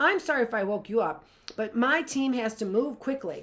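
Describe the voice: Loud and raspy, a woman does a put-on character voice at a high pitch, with lively intonation and a moderate pace.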